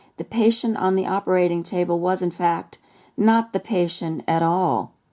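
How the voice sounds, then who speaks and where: With a dark, mellow tone, a woman speaks at a medium pitch and moderate pace with ordinary pitch variation. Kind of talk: reading aloud a first-person physician's account.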